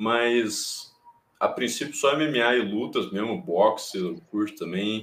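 Very slowly, a man talks at a medium pitch with ordinary pitch variation. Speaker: MMA youtuber and commentator. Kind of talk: casual chat. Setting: live stream.

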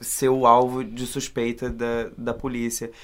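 Speaking at a very slow pace, a man holds a medium pitch in a monotone, flat intonation. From Rio Grande do Sul, Brazil. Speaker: actor. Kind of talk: casual chat. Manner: halting.

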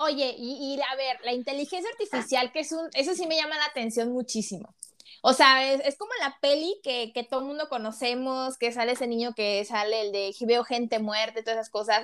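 Speaking in a high voice, a woman lets her intonation stay lively throughout. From Mexico, Tampico, Tamaulipas. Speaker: podcast host. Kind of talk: casual interview.

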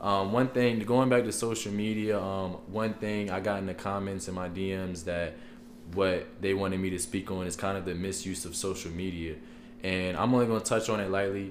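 A plain, everyday voice from a man, fairly low in pitch, at a moderate pace with fairly even intonation. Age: 20s. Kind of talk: casual chat.

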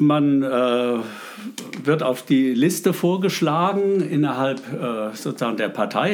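A man speaks with lively intonation. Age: 60s. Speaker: local politician. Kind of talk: interview. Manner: halting, many fillers.

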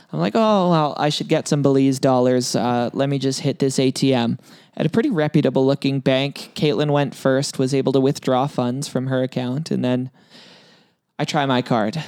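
A man with a Canadian accent and an unremarkable speaking voice talks at a moderate pace and medium pitch, using ordinary pitch variation. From Canada. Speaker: podcast host. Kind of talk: casual chat.

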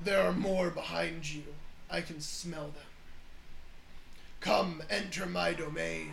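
Using a put-on character voice, a man talks at a fairly slow pace with long, frequent pauses over clear background noise. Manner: menacing, inviting.

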